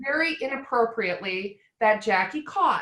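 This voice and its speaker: Speaking with a slight Wisconsin accent, a woman uses a raised, projected voice and lively intonation. Her pace is fairly slow. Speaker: retirement plan advisor. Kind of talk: casual panel chat.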